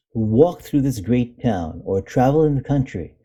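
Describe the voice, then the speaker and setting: Somewhat breathy, a man speaks at medium pitch in a dark, mellow tone. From India. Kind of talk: classic essay reading.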